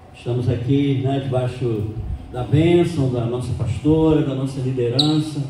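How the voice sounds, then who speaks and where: A man speaks fairly slowly at a medium pitch with fairly even intonation. Noticeable background noise and audible room echo fill the recording. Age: 60s. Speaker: pastor and missionary. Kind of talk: sermon. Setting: church.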